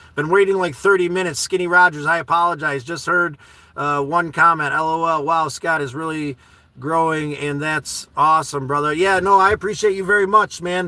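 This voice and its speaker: A loud, high-pitched man's voice at a fairly quick pace. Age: 40s. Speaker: live streamer reading chat. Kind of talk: casual live stream chat. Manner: animated.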